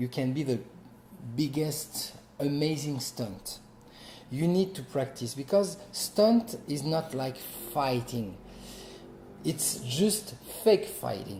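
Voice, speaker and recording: A man with a French accent talks at a very slow pace, leaving long, frequent pauses. His pitch is fairly high and swings very widely. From France. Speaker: actor and martial artist. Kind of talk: interview. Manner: halting.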